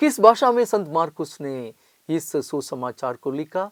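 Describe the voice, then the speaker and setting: This man's pitch swings very widely. The sound is dry and close, with no echo. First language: non-Hindi Indian language (speaking Hindi). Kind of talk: Bible study lecture.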